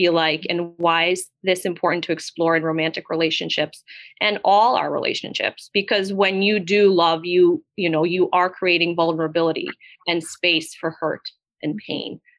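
A woman uses an ordinary speaking voice, fairly low in pitch. She keeps a moderate pace and fairly even intonation. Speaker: therapist podcast co-host. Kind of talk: casual podcast conversation.

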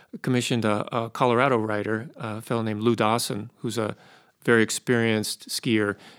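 A man in a normal speaking voice, with an American accent and a medium pitch, speaks at a moderate pace. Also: very clean recording, silent background. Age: 60s. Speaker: ski mountaineering historian and author. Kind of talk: interview. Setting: studio.

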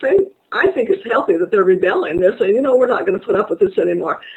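Very wide pitch swings in a woman's voice. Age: 70s. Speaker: parenting author and educational psychologist. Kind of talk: interview. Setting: online webinar.

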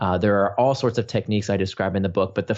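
A man with a normal speaking voice talks in a fairly low pitch. His pitch shows ordinary variation. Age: 40s. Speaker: author and behavioral design expert. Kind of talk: interview.

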